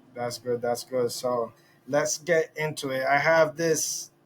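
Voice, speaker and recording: Over noticeable background noise, a man speaks fairly slowly at a fairly high pitch with monotone, flat intonation. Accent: Spanish. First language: Spanish. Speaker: podcast host. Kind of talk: casual interview. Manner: halting.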